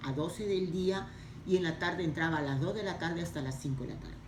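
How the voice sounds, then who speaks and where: Speaking at a fairly quick pace, a woman with a fairly low pitch and ordinary pitch variation sounds through audible room echo. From Peru, Lima. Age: 70s. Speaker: interviewee. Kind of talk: interview. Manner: halting.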